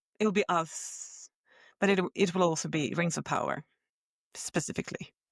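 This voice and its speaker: A woman speaks in an ordinary speaking voice at a moderate pace, her pitch fairly low and intonation fairly even. The recording is very clean, dry and close, with a silent background and no echo. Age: 30s. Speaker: podcast co-host. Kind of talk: casual chat.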